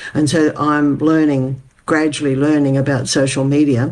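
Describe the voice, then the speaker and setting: A woman's very deep, low voice with an Australian accent. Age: 80s+. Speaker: community development advocate. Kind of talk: interview.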